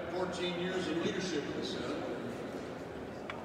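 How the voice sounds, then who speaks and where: Against loud background noise, a man's voice carries audible room echo. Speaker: retired state senator. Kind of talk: rally speech. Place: hall. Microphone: camera far.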